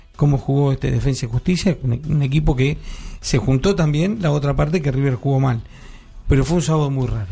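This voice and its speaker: Fairly high in pitch yet dark and mellow in tone, a man speaks at a fairly quick pace with very even loudness and a somewhat breathy quality. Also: ordinary pitch variation. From Uruguay. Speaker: radio panelist. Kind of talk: casual chat.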